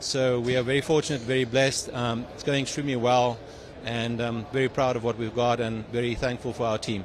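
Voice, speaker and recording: A man with a South African accent talks at a fairly quick pace. His medium-pitched voice stays monotone and flat. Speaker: tech company CEO and engineer. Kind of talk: interview. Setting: trade show. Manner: halting with many fillers.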